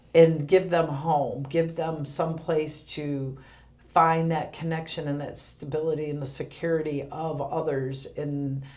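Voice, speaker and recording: Somewhat breathy and monotone, a woman's very deep, low voice carries audible room echo. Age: 50s. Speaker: senior center director. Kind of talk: podcast interview.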